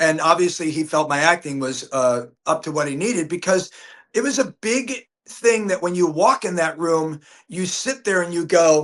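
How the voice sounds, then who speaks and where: Lively intonation marks this man's high-pitched voice. He speaks at a moderate pace. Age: 60s. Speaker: actor. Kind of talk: casual chat. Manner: halting.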